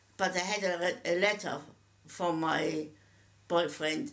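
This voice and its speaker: Audible room echo hangs around the recording. A woman talks very slowly. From Germany. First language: German. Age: 80s+. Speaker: Holocaust survivor. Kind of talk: testimony. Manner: halting, with repetitions.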